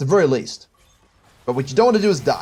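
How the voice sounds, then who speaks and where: A somewhat breathy man speaks at a very fast pace. His pitch swings very widely. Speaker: game coach. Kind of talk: coaching review of gameplay footage. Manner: thinking aloud, hesitant at times.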